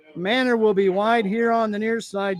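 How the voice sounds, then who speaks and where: A man speaks at a high pitch with fairly even intonation. Background noise is noticeable. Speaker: play-by-play announcer. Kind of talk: live commentary. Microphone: muffled through mask.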